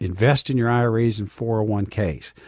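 A man speaks at medium pitch. His voice is somewhat breathy. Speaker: financial advisor and radio show host. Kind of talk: radio talk show Q&A with a sales pitch. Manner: conversational, folksy.

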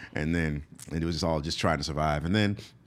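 Using a very deep, low pitch with vocal fry, a man talks with ordinary pitch variation. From US, moved often. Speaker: stand-up comedian. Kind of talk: casual interview. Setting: studio.

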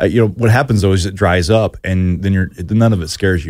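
A man with an American accent, talking at a very fast pace with ordinary pitch variation. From Arkansas/Oklahoma border (Fort Smith area). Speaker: filmmaker. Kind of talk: casual chat. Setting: studio.

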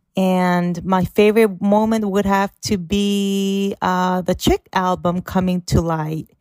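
A woman with a Korean accent speaks at a very slow pace, with hardly any pauses. The sound is dry and close, with no echo. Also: medium pitch for a woman. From South Korea. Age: 20s. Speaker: listener sending voice message. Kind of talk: recorded voice message. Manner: excited.

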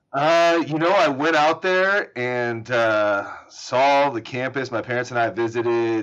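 Against a quiet background, a man with an American accent and an ordinary speaking voice talks at a medium pitch and a fairly slow pace, with ordinary pitch variation and hardly any pauses. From US South, Atlanta. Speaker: trial lawyer. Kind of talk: casual interview.

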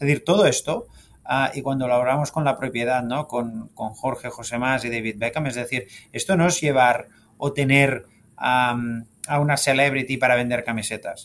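With a plain, everyday voice, a man talks at a moderate pace, his pitch medium and his intonation fairly even. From Spain, Catalonia (Sabadell). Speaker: football club executive. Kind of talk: interview.

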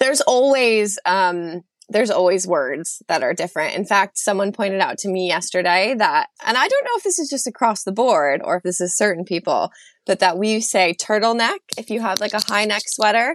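A woman with a New York accent speaks at a moderate pace with lively intonation, in a dry, close sound with no echo. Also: medium pitch for a woman. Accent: American (New York). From upstate New York, US. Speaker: graphic designer turned psychology student. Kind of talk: casual interview chat.

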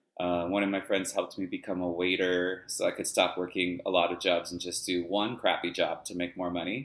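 With an American accent, a man talks at a fairly quick clip in a very deep, low voice, his intonation flat and monotone and his speech hardly broken by pauses. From Los Angeles suburbs, US. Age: 40s. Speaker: dance teacher and choreographer. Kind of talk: casual chat. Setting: video call.

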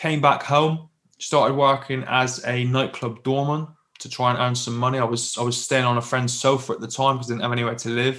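A man speaks with a West Country accent. His delivery is fairly quick, with monotone, flat intonation. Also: medium pitch for a man. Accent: southwest English (Plymouth). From southwest England. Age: 30s. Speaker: military veteran and business leader. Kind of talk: casual interview, telling his life story.

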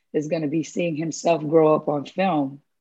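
This woman's pitch is very deep and low, with ordinary variation, and she speaks at a fairly quick pace. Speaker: documentary producer. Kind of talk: interview chat.

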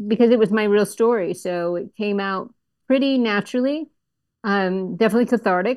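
In a normal speaking voice with an American accent, a woman talks at a moderate pace with ordinary pitch variation against a quiet background. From Florida, US (Melbourne Beach). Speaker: writer and producer. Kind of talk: casual interview.

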